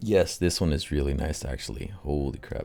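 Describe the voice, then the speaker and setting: Music plays in the background as a man speaks with an American accent. His pitch is very deep and low. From California Central Valley. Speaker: podcaster. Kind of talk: casual solo commentary. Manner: casual.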